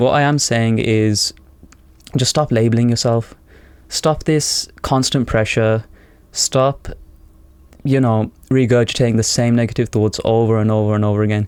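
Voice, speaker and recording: This man has a medium pitch and talks at a moderate pace with fairly even intonation. His loudness stays very even, and he leaves long, frequent pauses. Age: 20s. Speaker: self-improvement vlogger. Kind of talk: unscripted monologue. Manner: rambling; casual.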